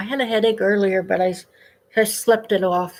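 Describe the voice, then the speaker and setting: The voice belongs to a woman with a fairly high pitch. She takes her time, talking fairly slowly. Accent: American. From US Midwest, Indiana. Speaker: live streamer. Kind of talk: casual chat. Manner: halting.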